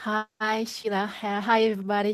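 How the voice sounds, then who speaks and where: In a French accent, a woman speaks at a very slow pace and a fairly high pitch. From Belgium. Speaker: filmmaker. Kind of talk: audience question. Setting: online audio room. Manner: halting.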